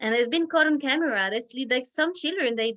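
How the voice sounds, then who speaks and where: With a French accent, a woman talks in a high pitch with ordinary pitch variation. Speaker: Montessori teacher leading parent workshop. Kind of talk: parent education talk over video call. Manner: halting, many repetitions and fillers.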